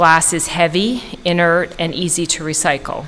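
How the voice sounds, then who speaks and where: Over noticeable background noise, a woman with a Canadian accent talks in a fairly low pitch. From Canada. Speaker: county solid waste manager. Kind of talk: formal report to a board. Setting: county commissioners work session. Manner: fast.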